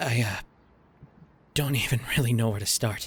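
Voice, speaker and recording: A raspy, put-on character voice from a man, medium in pitch, with fairly even intonation at a moderate pace. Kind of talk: character audio drama addressed to listener. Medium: role play. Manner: hesitant, emotional.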